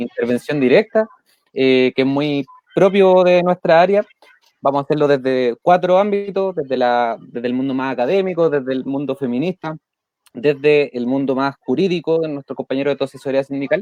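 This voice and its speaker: At a moderate pace, a man with a Chilean accent talks at a fairly high pitch with ordinary pitch variation. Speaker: trade union leader and livestream host. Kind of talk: live video interview.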